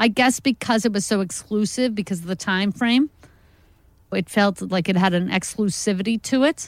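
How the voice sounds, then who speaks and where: An ordinary speaking voice with an American accent moves at a moderate pace, with ordinary pitch variation and very even loudness. The recording is very clean, with a silent background and a dry, close sound with no echo. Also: woman, medium pitch for a woman. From New York. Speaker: stand-up comedian. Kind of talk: stand-up; casual chat. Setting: stage with audience; studio.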